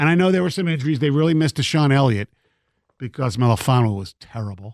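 Featuring an unremarkable speaking voice, a man talks at a fairly high pitch with ordinary pitch variation, recorded very cleanly against a silent background with a dry, close sound and no echo. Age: 50s. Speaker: sports radio host. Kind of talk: sports talk radio.

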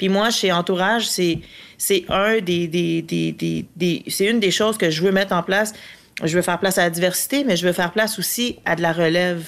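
A woman talks at a moderate pace and a medium pitch. Her intonation is fairly even, and her loudness stays very even. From Latin America. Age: 40s. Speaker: film producer. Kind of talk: casual interview chat.

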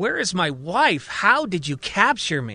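A man adopts a put-on character voice, pitched high with a bright, sharp tone, big pitch swings and a fairly slow pace.

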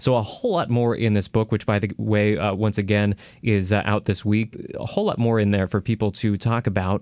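Against a quiet background, a man with a normal speaking voice and an American accent talks at a fairly quick pace, with a fairly low pitch and fairly even intonation. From California, Milpitas. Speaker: radio host. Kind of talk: radio interview. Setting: radio studio.

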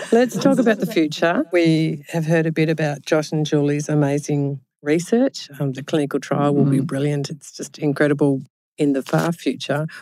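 A woman's very deep, low voice with a dark, mellow tone and an Australian accent. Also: ordinary pitch variation, moderate pace. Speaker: podcast host. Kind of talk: casual interview chat. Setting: studio, in person.

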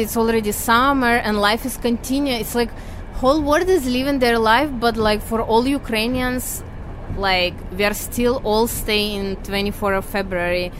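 A fairly slow pace with ordinary pitch variation over noticeable background noise. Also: woman. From Ukraine, Kyiv. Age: 30s. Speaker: returning refugee. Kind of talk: interview. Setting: on a train.

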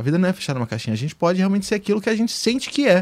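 The voice belongs to a man. His pitch is high. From Brazil, Fortaleza then Rio de Janeiro from childhood. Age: 20s. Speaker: TV post-production editor. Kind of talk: casual chat.

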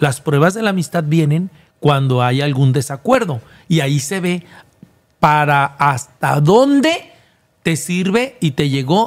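With a normal speaking voice, a man talks fairly slowly in a fairly high pitch with lively intonation. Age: 50s. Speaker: TV presenter and former reality show contestant. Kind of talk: casual interview.

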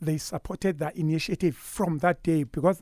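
A man speaks with a Zulu accent and a high pitch. His tone is dark and mellow. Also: dry, close sound with no echo. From KwaZulu-Natal, South Africa. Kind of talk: radio interview. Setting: studio. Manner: animated.

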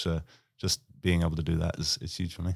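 A man with a New Zealand accent, a very deep, low pitch and monotone, flat intonation at a fairly quick pace, in a very clean recording with a silent background. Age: 30s. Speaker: basketball player. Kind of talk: casual interview. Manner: halting, many fillers.

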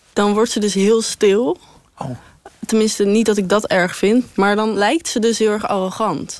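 A woman at medium pitch with ordinary pitch variation, fairly slow pace, and noticeable background noise. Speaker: interviewee. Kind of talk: casual chat.

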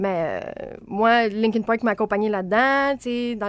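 This woman talks at a very slow pace in a Quebec accent, with a fairly high pitch. The recording is very clean and the background silent. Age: 20s. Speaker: host's daughter, music fan. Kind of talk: casual chat. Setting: studio.

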